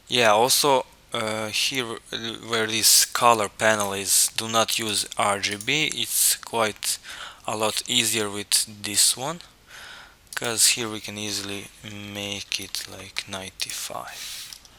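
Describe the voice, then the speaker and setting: With noticeable background noise behind him, a man speaks at a very slow pace in a fairly low pitch with fairly even intonation. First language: not English. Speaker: 3D rendering tutorial maker. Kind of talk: software tutorial. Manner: halting, with fillers and repetitions.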